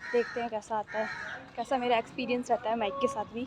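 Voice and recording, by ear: A woman talks at a fast pace in a fairly high voice with little pitch movement.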